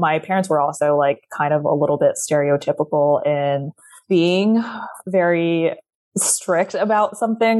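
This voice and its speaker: A woman talks at a fairly slow pace in a fairly low pitch. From California, US. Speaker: lawyer and content creator. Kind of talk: interview conversation.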